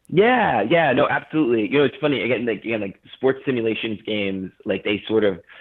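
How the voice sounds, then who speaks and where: With ordinary pitch variation, this man keeps to a fairly quick pace. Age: 30s. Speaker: video game media founder. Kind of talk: interview. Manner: halting.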